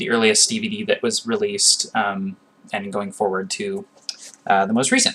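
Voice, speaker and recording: Noticeable background noise behind a man's moderately paced delivery. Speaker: youtuber discussing music. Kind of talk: casual monologue video. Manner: hesitant, many fillers.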